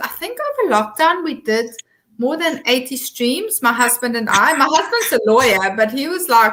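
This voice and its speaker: A woman speaks at a moderate pace with a South African accent. Her tone is bright and sharp. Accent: Afrikaans South African English. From South Africa, Eastern Free State. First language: Afrikaans. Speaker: social media consultant. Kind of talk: interview.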